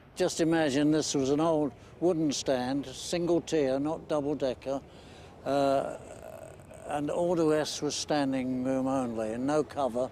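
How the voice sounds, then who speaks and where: A man with a dark, mellow tone speaks fairly slowly at a fairly high pitch, his intonation fairly even and his loudness very even. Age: 90s. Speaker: football fan and war veteran. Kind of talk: interview reminiscence. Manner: halting, with hesitations.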